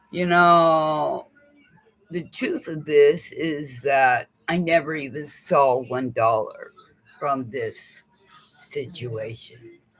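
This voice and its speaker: Music plays in the background as a man with a fairly high voice speaks at a very slow pace. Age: 60s. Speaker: vlogger. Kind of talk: personal monologue vlog. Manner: halting, repetitive.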